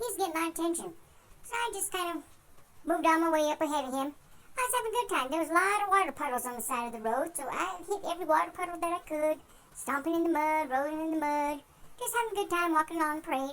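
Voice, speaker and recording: A squeaky, put-on character voice at an extremely high pitch races along at a very fast pace. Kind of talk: folksy tall tale. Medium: solo performance. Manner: rambling, easygoing.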